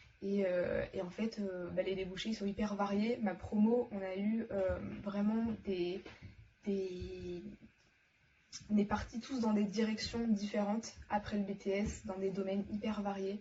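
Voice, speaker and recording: A woman speaks very slowly in a somewhat breathy, medium-pitched voice with monotone, flat intonation. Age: 20s. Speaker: former student. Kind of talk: testimony. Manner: hesitant, many fillers.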